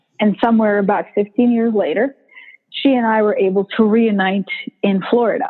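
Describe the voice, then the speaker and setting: A woman's fairly high voice in a Bosnian accent, at a moderate pace, with fairly even intonation and very even loudness. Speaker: motivational speaker. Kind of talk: interview.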